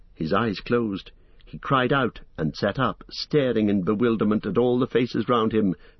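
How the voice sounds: Reading voice, natural in manner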